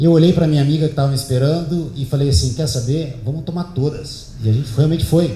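A man talks at a very fast pace. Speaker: speaker giving a talk at an event. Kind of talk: talk to an audience, storytelling. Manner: relaxed, conversational.

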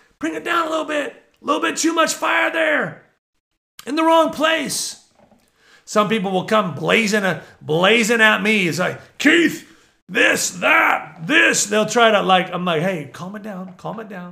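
A man raises and projects his voice at a fairly slow pace, high in pitch with very wide pitch swings and big swings in loudness. His tone is bright, sharp, passionate and animated. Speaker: prophetic minister and podcast host. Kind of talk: preaching monologue. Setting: at home. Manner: loud, passionate.

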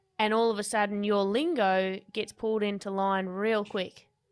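In a very clean recording with a silent background, a woman speaks in an Australian accent at medium pitch. Her intonation is monotone and flat, and her pace is fairly slow. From Tasmania, Australia. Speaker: podcast host and gym owner. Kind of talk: casual interview; scripted narration.

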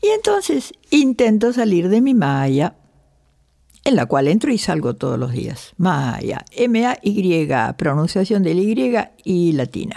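Speaking at a very slow pace, a woman uses a medium pitch and a dark, mellow tone with very wide pitch swings. The recording is very clean, with a silent background. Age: 80s+. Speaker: yoga teacher. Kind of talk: talk to a yoga class.

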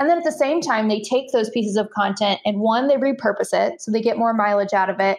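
Speaking very fast with hardly any pauses, a woman uses a fairly high voice with ordinary pitch variation. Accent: American. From US Midwest, central Illinois. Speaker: freelance content writer. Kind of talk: interview conversation.

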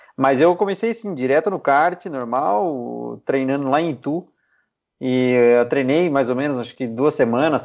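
A man with a plain, everyday voice speaks at a fairly high pitch with lively intonation. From Piedade, São Paulo interior, Brazil. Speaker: racing driver. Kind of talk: casual interview.

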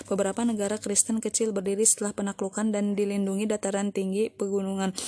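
Speaking at a very fast pace, a woman keeps a monotone, flat intonation at a medium pitch. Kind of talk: audiobook reading of a history book, formal narration. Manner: formal, measured, even narrator's delivery; slightly halting, with filler 'e' and repeated words.

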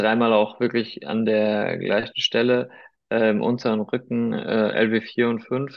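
A man speaks at a medium pitch. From Germany, Heidelberg, Spanish family. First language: Spanish (speaking German). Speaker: sports commentator. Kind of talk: casual chat.

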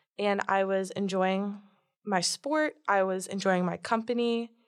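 A woman talks in a plain, everyday voice. Her pitch is medium and her intonation fairly even. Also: quiet background. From Florida. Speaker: university student. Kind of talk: testimony.

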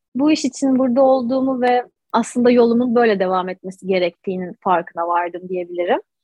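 At a moderate pace, a woman speaks in a high pitch with very wide pitch swings. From Istanbul, Anatolian side. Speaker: holistic breath coach. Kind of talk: interview.

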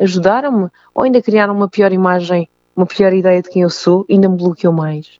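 In a European Portuguese accent, a woman with a medium pitch and a dark, mellow tone speaks at a moderate pace with fairly even intonation, the sound dry and close with no echo. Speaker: singer and belly dancer sharing bullying experience. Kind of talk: interview testimony. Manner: halting.

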